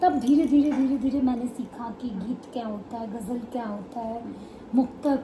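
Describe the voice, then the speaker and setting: High-pitched woman with a Bihari accent, fairly even intonation and noticeable background noise. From eastern Uttar Pradesh, India (Gorakhpur). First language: Bhojpuri (speaking Hindi). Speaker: poet. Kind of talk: interview.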